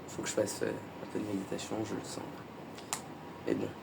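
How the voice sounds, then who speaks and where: A man's voice carries audible room echo. Noticeable background noise runs underneath. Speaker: YouTuber sharing personal spiritual experience. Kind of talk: personal vlog monologue. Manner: calm, measured; hesitant, with fillers.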